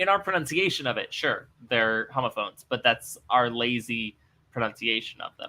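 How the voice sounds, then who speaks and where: A man's bright, sharp tone at a moderate pace. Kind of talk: conversational, explaining. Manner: lazy pronunciation.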